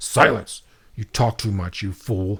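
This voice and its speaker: A man puts on a gravelly character voice. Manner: gruff, scolding, commanding.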